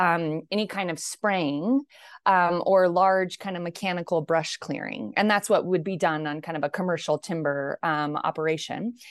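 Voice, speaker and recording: A woman with an American accent and a plain, everyday voice talks at a fairly slow pace, fairly low in pitch with ordinary pitch variation. The sound is dry and close with no echo, and the background is quiet. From far northern California, rural mountain country. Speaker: agricultural sustainability scientist, university research director. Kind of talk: interview.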